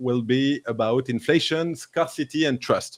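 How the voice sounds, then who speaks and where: At a very slow pace and with ordinary pitch variation, the speech comes with a French accent, dry and close with no echo, on a very clean recording with a silent background. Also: man. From France. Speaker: crypto livestream host. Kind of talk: live interview show. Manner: halting, many fillers.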